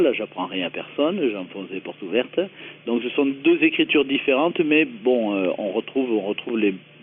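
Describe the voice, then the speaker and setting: A man talks at a moderate pace with a southern French accent and lively intonation. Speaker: comedy writer and performer. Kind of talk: radio interview. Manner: hesitant, many fillers.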